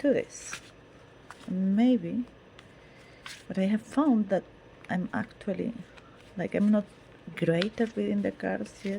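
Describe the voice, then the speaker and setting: A woman with a non-native accent, medium pitch, ordinary pitch variation, a very slow pace and long, frequent pauses, plus noticeable background noise. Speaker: tarot reader. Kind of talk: casual monologue. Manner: halting, with repetitions.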